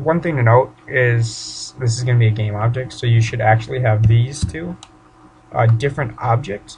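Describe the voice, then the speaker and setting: Over noticeable background noise, a man talks at a medium pitch. His intonation stays fairly even. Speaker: 3D modeling tutorial creator. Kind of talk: tutorial. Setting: home bedroom. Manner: casual, informal.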